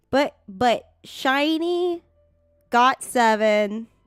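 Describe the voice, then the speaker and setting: A woman's voice with very wide pitch swings, dry and close with no echo, over music in the background. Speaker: gaming streamer. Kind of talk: casual live stream chat. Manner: casual, halting with fillers.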